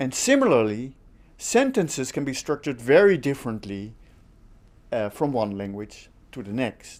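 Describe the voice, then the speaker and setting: This speaker has a Dutch accent and lively intonation. The pace is moderate, broken by long, frequent pauses. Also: man, medium pitch for a man. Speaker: linguistics lecturer. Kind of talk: online course lecture.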